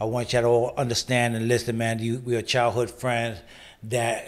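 A man's medium-pitched voice in a New York accent at a fairly quick pace. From New York, the Bronx. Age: 40s. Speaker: podcast host. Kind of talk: interview. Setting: studio. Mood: warm, earnest. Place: studio. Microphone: studio mic.

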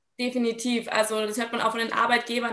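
With audible room echo, a woman speaks at a fairly quick pace in a fairly high, flat, monotone voice. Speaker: sports education officer; guest. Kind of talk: online panel discussion; panel discussion answer. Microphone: video call.

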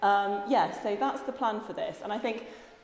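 A woman talks with fairly even intonation, and audible room echo can be heard. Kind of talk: interview answer. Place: empty room. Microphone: lapel.

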